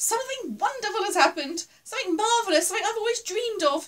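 In a put-on character voice, a woman squeaks out her words at an extremely high pitch and a very fast pace. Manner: excited, joyful.

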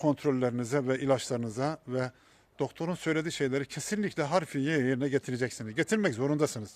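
Very fast and fairly high-pitched, a man rattles through his words. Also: ordinary pitch variation. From Ordu, Turkey. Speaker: cancer patient vlogger. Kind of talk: vlog monologue. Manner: halting, many fillers.

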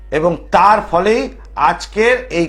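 There is noticeable background noise. Through it, a man speaks at high pitch. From Kolkata, West Bengal, India. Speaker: TV astrologer and tantric storyteller. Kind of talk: phone-in TV show with religious storytelling.

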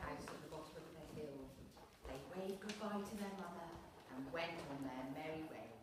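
A woman talks at a moderate pace amid strong room echo and noticeable background noise. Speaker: storyteller reading to children. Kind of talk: story reading to young children. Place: hall. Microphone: camera far.

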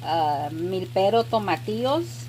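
Noticeable background noise sits behind a woman's voice. Her pitch is very deep and low, with very wide swings. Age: 40s. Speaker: homemaker. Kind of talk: vlog voiceover. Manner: warm, friendly.

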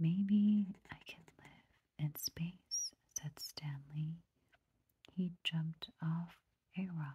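The speaker is soft-spoken with a gentle tone. The pace is very slow. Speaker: storybook reader. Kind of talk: read-aloud storytelling. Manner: soft-spoken gentle bedtime reading. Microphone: phone near.

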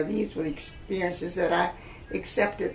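Ordinary pitch variation at a moderate pace, with music in the background. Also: woman. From Huntsville, Alabama. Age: 80s+. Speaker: retired educator. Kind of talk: oral history interview answer. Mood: calm, reflective storytelling. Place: home room.

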